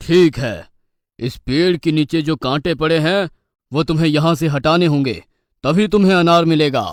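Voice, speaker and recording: A man's cartoonish character voice, fairly high in pitch, on a very clean recording with a silent background. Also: moderate pace. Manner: stern, dismissive.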